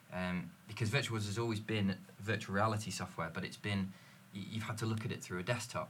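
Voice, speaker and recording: It is an unremarkable speaking voice with fairly even intonation. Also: man, fairly low pitch for a man, fairly quick pace. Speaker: sales manager. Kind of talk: casual panel chat.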